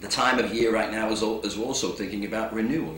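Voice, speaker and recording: A man with an English accent talks at a fairly quick pace. Audible room echo and noticeable background noise surround him. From England. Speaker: motivational speaker. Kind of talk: inspirational talk.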